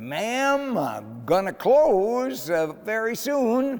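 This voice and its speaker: Using a put-on character voice, a man speaks at a high pitch. His pace is very slow. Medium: read story.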